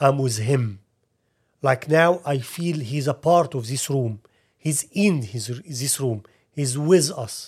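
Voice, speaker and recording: Speaking with an Arabic accent, a man has a fairly high, somewhat breathy voice with ordinary pitch variation. His pace is very slow. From Egypt. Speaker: ministry leader. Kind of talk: interview testimony.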